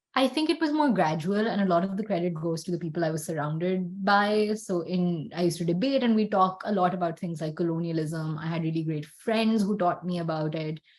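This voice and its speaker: Someone with a Pakistani accent speaks at a fairly quick pace with hardly any pauses and ordinary pitch variation. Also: woman, fairly low pitch for a woman. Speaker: podcast co-host. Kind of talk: casual chat.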